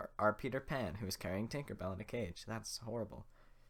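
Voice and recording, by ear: This recording is reading aloud in a natural voice.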